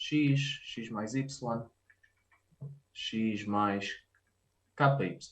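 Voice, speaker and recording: In a European Portuguese accent, a man speaks at a very slow pace with long, frequent pauses, and audible room echo surrounds his voice. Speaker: mathematics professor. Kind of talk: lecture. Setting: video call. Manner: halting, many fillers.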